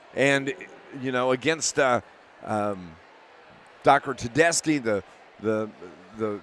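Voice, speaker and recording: The pace is very slow, with long, frequent pauses. Pitch variation is ordinary. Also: man, medium pitch for a man. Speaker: radio sports announcer. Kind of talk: live sports commentary. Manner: halting, stumbling over words.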